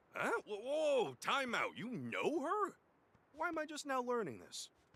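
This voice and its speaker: This man uses a put-on character voice pitched extremely high. He delivers it at a moderate pace. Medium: video game. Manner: wisecracking, gruff.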